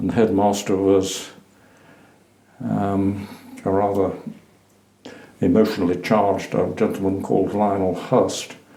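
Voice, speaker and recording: Speaking slowly and in a flat monotone, a man with a fairly low pitch and a dark, mellow tone is heard with audible room echo. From Suffolk, eastern England. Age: 80s+. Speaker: retired teacher and lecturer. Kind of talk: oral history interview. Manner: hesitant, with fillers.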